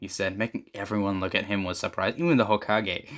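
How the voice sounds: This clip features a natural reading voice.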